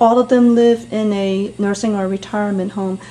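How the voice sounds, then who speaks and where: A woman's voice with noticeable background noise. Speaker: interviewer.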